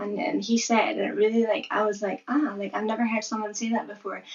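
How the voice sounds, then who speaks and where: Noticeable background noise sits behind a woman speaking with a Scottish accent. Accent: Scottish accent with deaf speech features. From Scotland. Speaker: content creator raising deaf awareness. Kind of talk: casual interview conversation. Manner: animated, many fillers.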